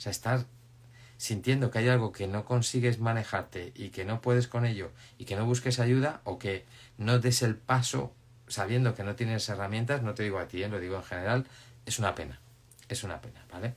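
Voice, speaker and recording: The voice is somewhat breathy, with ordinary pitch variation and a fairly quick pace. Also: man. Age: 50s. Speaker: life coach. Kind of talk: live stream talk; live Q&A advice chat. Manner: casual, halting with repetitions. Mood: calm, reassuring. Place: home room. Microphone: phone near.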